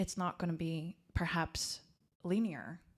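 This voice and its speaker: A woman's fairly low, monotone voice with flat intonation, in a very clean recording with a silent background. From Slovakia. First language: Slovak. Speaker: life coach. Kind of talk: podcast interview.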